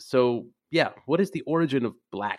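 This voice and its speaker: A man with a normal speaking voice talks at a fairly quick pace. His pitch variation is ordinary, and the background is quiet. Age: 30s. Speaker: podcast host, magazine editor. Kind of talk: casual chat.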